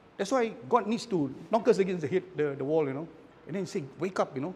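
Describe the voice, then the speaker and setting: This man speaks at a high pitch with a Malaysian accent. His pitch swings very widely as he moves at a fairly quick pace. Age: 60s. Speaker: architect, cancer survivor. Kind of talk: casual talk in book club sharing.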